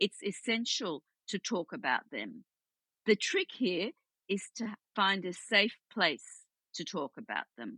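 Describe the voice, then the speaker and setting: A woman with an Australian accent and medium pitch talks at a fairly slow pace, her bright, sharp tone and lively intonation captured in a dry, close sound with no echo. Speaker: psychotherapist. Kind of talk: interview.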